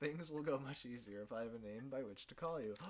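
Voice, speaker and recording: In a put-on character voice at medium pitch, a man talks very fast. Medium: game stream. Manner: formal, refined, measured.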